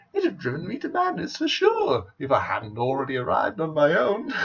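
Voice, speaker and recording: This man puts on a character voice. His tone is theatrical. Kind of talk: comic villain monologue. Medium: solo performance. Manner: theatrical, mocking, wordplay-laden.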